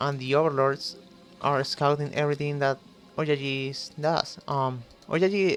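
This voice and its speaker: Someone speaks at a fairly slow pace with a Spanish accent. Music plays in the background. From Chile. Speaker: esports caster. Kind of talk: live commentary. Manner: halting, many fillers.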